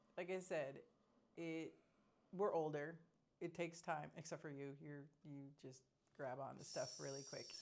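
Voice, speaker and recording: With vocal fry and a very deep, low pitch, a woman speaks at a moderate pace in fairly even intonation, leaving long, frequent pauses. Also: big swings in loudness. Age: 40s. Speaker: expat vlogger. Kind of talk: casual chat. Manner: halting.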